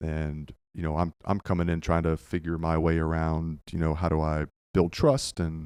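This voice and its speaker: Very deep and low, a man's voice comes in an American accent at a fairly slow pace with monotone, flat intonation. The recording is very clean, with a silent background. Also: dry, close sound with no echo. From Northern Virginia, US. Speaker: youth club director. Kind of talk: podcast interview. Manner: hesitant, many fillers.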